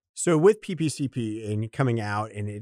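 A man's plain, everyday voice at a medium pitch, with ordinary pitch variation. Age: 50s. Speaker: podcast host and payment consultant. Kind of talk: interview.

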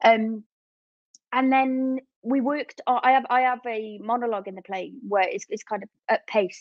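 A woman speaks at a fairly high pitch and a moderate pace. Her intonation is fairly even.

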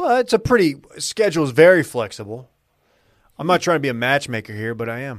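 A man with an American accent talks at a fairly quick pace in a fairly high voice. His pitch swings very widely and his loudness shifts a lot. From North Texas. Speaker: podcast host and media co-founder. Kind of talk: casual chat.

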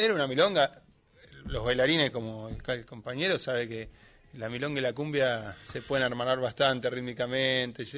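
In a normal speaking voice, a man with a medium pitch talks at a moderate pace with ordinary pitch variation. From Greater Buenos Aires (Lomas de Zamora). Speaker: tango musician. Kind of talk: casual chat. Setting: studio.

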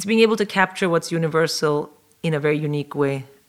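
Speaking at a fairly quick pace, a woman uses a very deep, low pitch. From South India. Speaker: stand-up comedian. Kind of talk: interview.

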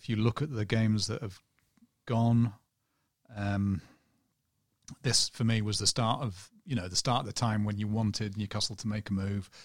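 Speaking at a moderate pace with long, frequent pauses, a man uses a fairly low pitch and fairly even intonation. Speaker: football journalist. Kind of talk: casual chat. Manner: monotone.

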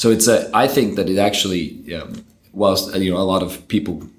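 A man with an American accent talks at a fairly quick pace in a very deep, low pitch with ordinary variation. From Denmark, later California. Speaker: tech company co-founder and CTO. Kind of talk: interview.

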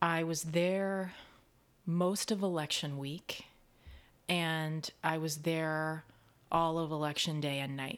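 A woman with an American accent speaks with a very deep, low pitch and fairly even intonation, at a very slow pace with long, frequent pauses. The recording is very clean, with a silent background. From US Midwest, Kansas City. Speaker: actor and dialect coach. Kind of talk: casual chat.

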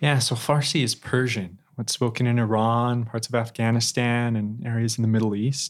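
A man with an American accent talks at a moderate pace with medium pitch, fairly even intonation and hardly any pauses, in an ordinary speaking voice. The recording is very clean, with a silent background. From Idaho, Twin Falls. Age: 20s. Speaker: law graduate and returned missionary. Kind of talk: interview testimony.

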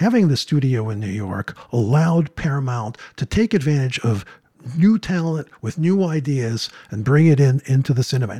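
Lively intonation, a somewhat breathy voice, and a dry, close sound with no echo. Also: man, moderate pace. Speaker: film professor. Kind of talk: interview.

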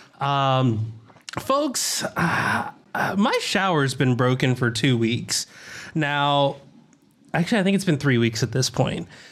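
A man's fairly high voice with an American accent, very slow, with long, frequent pauses, ordinary pitch variation, very even loudness and noticeable background noise. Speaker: podcast host. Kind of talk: casual chat, live podcast recording. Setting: remote video call, live streamed to chat.

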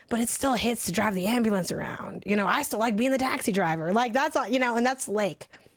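Very fast speech from a woman at a fairly high pitch, with hardly any pauses, ordinary pitch variation and very even loudness, over noticeable background noise. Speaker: video game podcast co-host. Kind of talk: casual chat. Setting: livestream with live chat. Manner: fast talker.

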